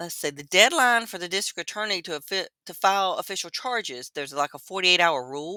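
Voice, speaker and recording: The speaker talks at a very fast pace with hardly any pauses, in a North Carolina accent. The recording is very clean with a silent background. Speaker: true crime YouTuber. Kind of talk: casual livestream commentary. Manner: casual, halting.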